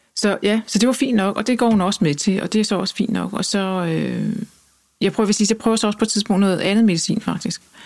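A woman speaks at a medium pitch with vocal fry. She keeps a fairly quick pace and fairly even intonation. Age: 50s. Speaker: journalist and author. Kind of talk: interview.

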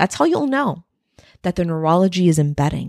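With an animated tone, a woman speaks in a fairly low pitch, the sound dry and close with no echo. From Texas-Mexico border. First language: Spanish. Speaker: life and leadership coach. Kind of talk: motivational podcast monologue.

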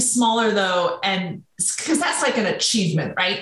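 With a bright, sharp tone and very wide pitch swings, a woman speaks at a fairly slow pace amid audible room echo. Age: 40s. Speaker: leadership coach and author. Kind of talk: casual chat.

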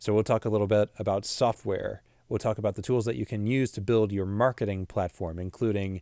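A man's dark, mellow voice in a Pacific Northwest accent, fairly low in pitch with fairly even intonation, on a dry, close, very clean recording with a silent background. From US Pacific Northwest (Washington State). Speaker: podcast host, marketing business owner. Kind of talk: solo podcast monologue.

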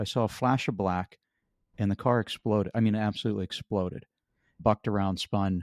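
In a very clean recording with a silent background and a dry, close sound with no echo, a man with an American accent speaks at a moderate pace and fairly low pitch, with ordinary pitch variation, very even loudness, and long, frequent pauses. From western Pennsylvania. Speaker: author and accident survivor. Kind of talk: interview testimony.

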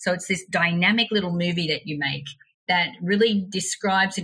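Using a normal speaking voice, a woman talks at a fairly quick pace with a fairly low pitch and fairly even intonation. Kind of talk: casual interview chat.

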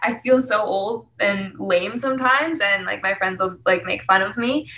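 With a Canadian accent, a woman speaks at a moderate pace with ordinary pitch variation over noticeable background noise. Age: 20s. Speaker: singer-songwriter. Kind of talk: casual interview chat.

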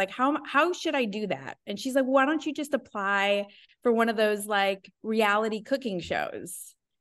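A woman talks with an American accent at a fairly high pitch. Her pitch swings very widely over a quiet background. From Wisconsin. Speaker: chef and life coach. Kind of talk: casual interview.

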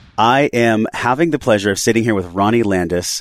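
A man with an ordinary speaking voice talks at a fairly low pitch and a fairly quick pace, with lively intonation. The sound is dry and close, with no echo. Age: 30s. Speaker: podcast host. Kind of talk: interview; scripted intro. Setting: podcast studio.

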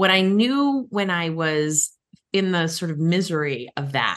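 A woman with a very deep, low pitch, lively intonation and an animated tone. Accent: American. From Massachusetts (Cape Cod, Boston area). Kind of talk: interview.

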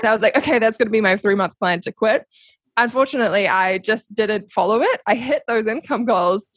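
In a dry, close sound with no echo, a woman with a New Zealand accent speaks at a fairly high pitch. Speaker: podcast guest, social media strategist and coach. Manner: casual, conversational, laughs often.

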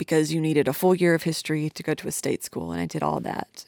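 The voice of a woman with a Southern US accent comes through dry and close with no echo, on a very clean recording with a silent background. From Tennessee, near Nashville. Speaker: podcast host, audio engineer. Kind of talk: casual solo podcast monologue.

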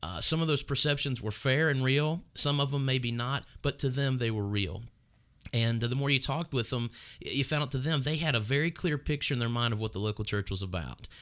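A man with an American accent talks at a fairly quick pace, medium pitch and ordinary pitch variation in a plain, everyday voice. The recording is very clean, with a silent background. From Northern Kentucky, US. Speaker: pastor. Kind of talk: casual chat. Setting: studio, streamed live on video.

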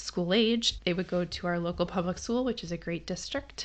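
A woman with an American accent speaks in a plain, everyday voice, fairly low in pitch with fairly even intonation, over a quiet background. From Massachusetts. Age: 40s. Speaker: homeschooling parent and podcast host. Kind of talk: personal storytelling monologue.

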